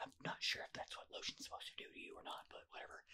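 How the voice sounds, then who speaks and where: Someone whispers at a very fast pace. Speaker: ASMR streamer. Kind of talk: casual talk to camera, ASMR rambling. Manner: soft-spoken, whispering. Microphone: studio mic.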